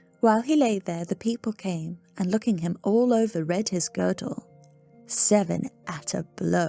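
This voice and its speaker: A woman speaks at a fairly slow pace in a medium pitch with ordinary pitch variation, her voice dry and close with no echo, and music plays in the background. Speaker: ASMR sleep-story reader. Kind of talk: sleep story reading.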